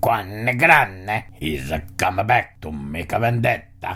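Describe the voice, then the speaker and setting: In a put-on character voice, a man speaks fairly slowly at a fairly low pitch, with very wide pitch swings. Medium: solo performance.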